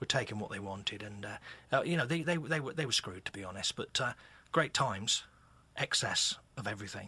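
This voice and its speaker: A man with a West Country accent talks at a very fast pace and a medium pitch. His tone is bright and sharp, with lively intonation. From England, Exeter (Devon). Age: 60s. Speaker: author and musician. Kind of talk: radio interview.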